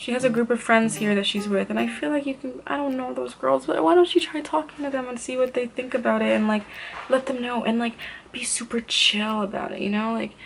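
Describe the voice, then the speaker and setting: A soft-spoken woman, fairly high in pitch, with lively intonation and a fairly quick pace, over noticeable background noise. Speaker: beauty vlogger. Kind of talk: casual chat. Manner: quiet.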